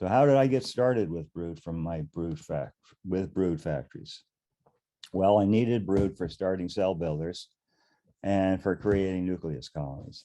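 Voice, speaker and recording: A man's very deep, low voice with a dark, mellow tone, ordinary pitch variation and a moderate pace. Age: 70s. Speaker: beekeeper. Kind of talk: webinar presentation. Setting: webinar with slides.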